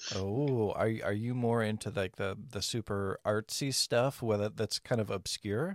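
In a dry, close recording with no echo and a silent background, a man with a medium pitch and an ordinary speaking voice talks at a fairly slow pace, barely pausing, his intonation fairly even. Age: 40s. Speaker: podcast host. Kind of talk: casual chat.

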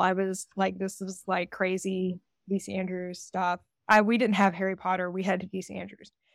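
A woman in a Southern US accent at a medium pitch and moderate pace, with a dry, close sound with no echo on a very clean recording with a silent background. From US, Georgia. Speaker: romance author. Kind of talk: interview.

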